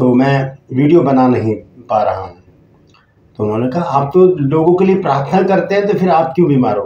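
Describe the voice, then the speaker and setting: A man's somewhat breathy voice with a dark, mellow tone, fairly high pitch and lively intonation, at a moderate pace, with big swings in loudness and audible room echo. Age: 60s. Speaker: pastor. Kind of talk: sermon. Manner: halting.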